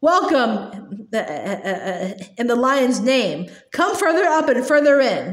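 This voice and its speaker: A woman puts on a shrill character voice, high in pitch with very wide pitch swings, at a fairly slow pace. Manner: courteous, welcoming.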